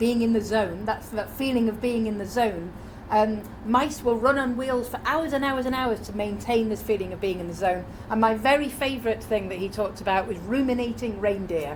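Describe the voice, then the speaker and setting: A woman with a British accent talks at a fairly quick pace and fairly high pitch with ordinary pitch variation, amid audible room echo and noticeable background noise. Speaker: conference speaker. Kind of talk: conference talk. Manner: fast.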